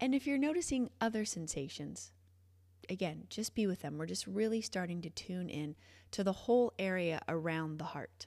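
On a very clean recording with a silent background, a woman with a normal speaking voice talks at a moderate pace at medium pitch, her intonation lively. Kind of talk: guided meditation. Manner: warm, encouraging, reassuring.

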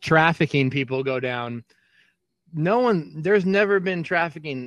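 A high-pitched man talks at a moderate pace. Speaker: podcast co-host. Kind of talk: casual banter. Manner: rambling, profane.

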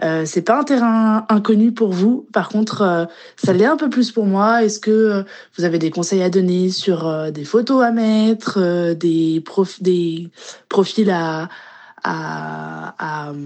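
Her pitch sits at a medium level for a woman, with ordinary variation. She speaks at a very slow pace. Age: 30s. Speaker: listener leaving voice message. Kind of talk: voice message.

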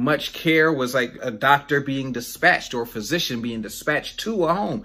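With an American accent, a man speaks at a moderate pace in a fairly high pitch with lively intonation, on a very clean recording with a silent background. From US South, North Carolina. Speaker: pastor. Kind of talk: sermon. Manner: casual, halting with fillers.

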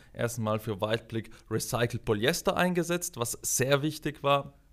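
Speaking at a moderate pace with lively intonation, a man with a South Tyrolean accent comes through on a very clean recording with a silent background. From South Tyrol, Italy. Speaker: product manager. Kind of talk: interview.

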